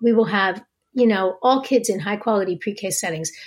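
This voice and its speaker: In an American accent, a woman speaks with lively intonation at a fairly high pitch. She has a plain, everyday voice. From US Northeast, New Jersey. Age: 50s. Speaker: think tank executive director. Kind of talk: interview.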